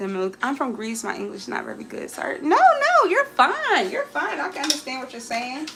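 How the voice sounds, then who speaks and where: A woman's pitch swings very widely as music plays in the background. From Alabama. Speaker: lifestyle livestreamer. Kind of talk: casual livestream chat while cooking. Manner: chatty, repeats phrases.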